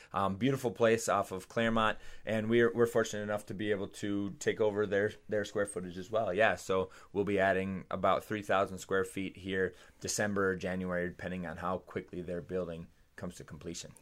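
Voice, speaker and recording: Recorded very cleanly against a silent background, a normal speaking voice with an American accent goes at a fairly quick pace with fairly even intonation. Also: man, fairly low pitch for a man. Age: 30s. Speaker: fitness trainer and PE teacher. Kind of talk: casual chat.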